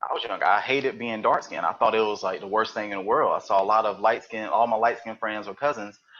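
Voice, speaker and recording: Speaking very fast with a Southern US accent and fairly even intonation, a man comes through noticeable background noise. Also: medium pitch for a man. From US South, eastern North Carolina. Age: 30s. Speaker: podcast guest. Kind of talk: interview. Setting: live webcast.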